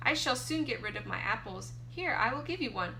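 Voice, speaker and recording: A woman speaks at a fairly quick pace in a put-on character voice. Clear background noise can be heard. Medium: read story. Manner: falsely friendly, coaxing.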